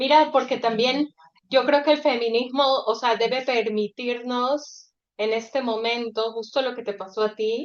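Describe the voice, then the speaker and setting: A woman speaks at a fairly slow pace in a high voice, with fairly even intonation. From Ecuador. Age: 40s. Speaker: author. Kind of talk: casual chat.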